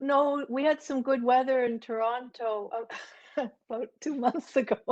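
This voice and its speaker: With a Canadian accent, a woman talks at a moderate pace, using a high pitch and fairly even intonation. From Ottawa, Canada. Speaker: language learner. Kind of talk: workshop talk. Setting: video call.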